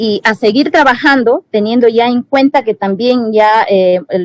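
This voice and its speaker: A woman with a Peruvian Amazon accent talks at a fairly slow pace and fairly high pitch. Her pitch varies in an ordinary way, and the sound is dry and close with no echo. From Peruvian Amazon, Shipibo-Conibo community. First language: Shipibo-Conibo (speaking Spanish). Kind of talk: panel discussion. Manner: halting, many fillers and self-corrections.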